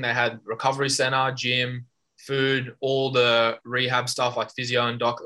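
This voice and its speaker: This man has an Australian accent. His tone is bright and sharp. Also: very clean recording, silent background. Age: 20s. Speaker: judo Olympian. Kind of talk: casual interview.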